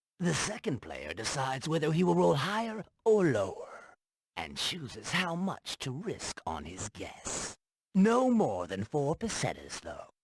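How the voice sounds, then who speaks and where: A man does a put-on character voice with very wide pitch swings. He speaks at a fairly slow pace in a dry, close sound with no echo. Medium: video game. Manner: smooth, persuasive.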